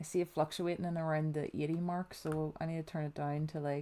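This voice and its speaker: A soft-spoken woman, fairly low-pitched with a dark, mellow tone, at a moderate pace in a monotone, flat intonation. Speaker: gaming streamer. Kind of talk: live gameplay stream chat. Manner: quiet, low volume.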